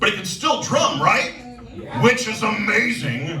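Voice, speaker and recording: Noticeable background noise sits under this recording. A man speaks with an American accent. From Chicago area. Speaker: stand-up comedian. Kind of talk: stand-up comedy set.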